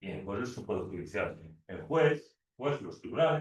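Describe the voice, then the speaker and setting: A man speaks with a somewhat breathy voice. His pitch swings very widely. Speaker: law teacher. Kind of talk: lecture. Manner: fast; halting.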